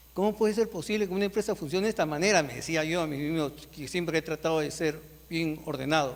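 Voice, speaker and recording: A man talks at a fairly quick pace. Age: 60s. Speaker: author and retired industrial engineer. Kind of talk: book presentation speech. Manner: conversational, informal.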